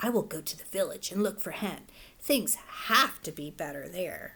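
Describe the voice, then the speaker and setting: Putting on a character voice, a woman speaks at a moderate pace and medium pitch. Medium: read story.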